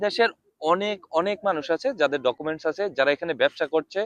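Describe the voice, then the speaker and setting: A man speaks with lively intonation, and the sound is dry and close with no echo. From Bangladesh. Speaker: expatriate businessman. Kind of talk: interview.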